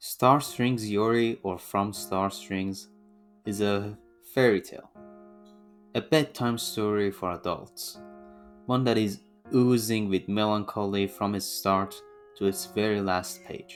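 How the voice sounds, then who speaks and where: Very slow speech with long, frequent pauses and music in the background. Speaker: manga reviewer. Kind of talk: video essay review narration.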